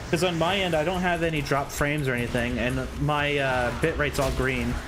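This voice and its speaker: Over music in the background, a man with a fairly high pitch talks at a fairly quick pace, his loudness very even and his pitch variation ordinary, with audible room echo. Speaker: gaming streamer. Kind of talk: casual live stream chat. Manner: stuttering, halting; filler-heavy, many likes and ums.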